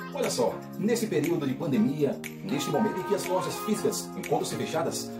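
Clear music sounds in the background while a man delivers his words fairly quickly. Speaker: announcer and retail sales advisor. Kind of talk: TV commercial read. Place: home room. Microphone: phone near.

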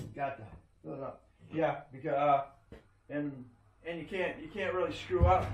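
With lively intonation and big swings in loudness, a man speaks at a moderate pace in a room with audible echo. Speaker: DIY reviewer. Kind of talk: tutorial. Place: garage. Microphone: camera far.

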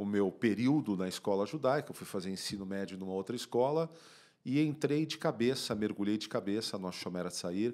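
Against a quiet background, a man speaks at a fairly quick pace. His fairly low voice has lively intonation. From Brazil, São Paulo (Bom Retiro); São Paulo, Brazil. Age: 50s. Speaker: podcast guest. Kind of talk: interview. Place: studio. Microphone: studio mic.

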